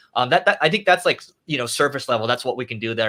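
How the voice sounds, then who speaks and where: A man speaks with an American accent. His medium pitch carries a bright, sharp tone. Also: very clean recording, silent background. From US West Coast, Los Angeles area. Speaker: entrepreneur and author. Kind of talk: interview. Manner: fast.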